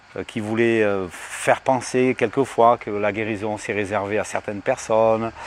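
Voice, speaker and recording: At a moderate pace, a man speaks in a medium pitch over noticeable background noise. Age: 60s. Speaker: evangelist, healing minister. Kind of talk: testimony. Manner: halting, with many fillers.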